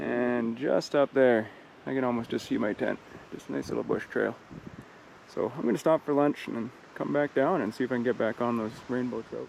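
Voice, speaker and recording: A man talks at a fairly quick pace and medium pitch, with ordinary pitch variation. Noticeable background noise is present. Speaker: fishing vlogger. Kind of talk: casual outdoor vlog narration. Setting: outdoors on a lake in a kayak. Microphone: poor audio from wind.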